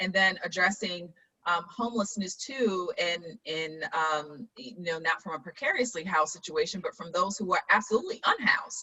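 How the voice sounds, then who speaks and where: Barely pausing, a woman speaks at a medium pitch with ordinary pitch variation and big swings in loudness. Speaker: town hall host, local official. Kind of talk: panel discussion. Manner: fast.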